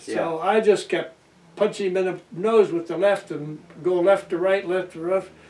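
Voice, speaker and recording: Noticeable background noise sits behind a man with a high pitch. He talks at a moderate pace in a monotone, flat intonation. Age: 80s+. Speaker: World War II navy veteran. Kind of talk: interview answer. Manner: storytelling, hesitant.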